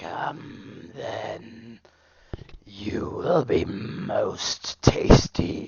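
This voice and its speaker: A man speaks in a raspy, put-on character voice. His pace is very slow. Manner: menacing, predatory.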